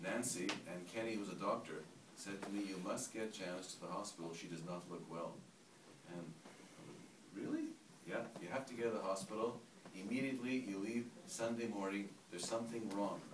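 A man talks at a fairly quick pace, his pitch fairly low with ordinary variation. Noticeable background noise runs underneath. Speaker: storyteller at a gathering. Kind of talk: personal story told to a group. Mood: emotional, reflective. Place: home room. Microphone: camera far.

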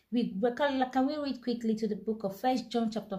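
A woman talks at a fairly slow pace in a dark, mellow, somewhat breathy tone. Her pitch varies in an ordinary way against a quiet background. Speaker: devotional reader. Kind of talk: sermon-like reading and commentary. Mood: fervent, earnest. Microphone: phone near.

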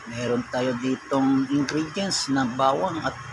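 Noticeable background noise runs under this clip. A man with a fairly high pitch talks at a very slow pace. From Ilocos region, Philippines (Ilocano). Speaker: food vlogger. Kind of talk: cooking tutorial. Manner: casual, conversational.

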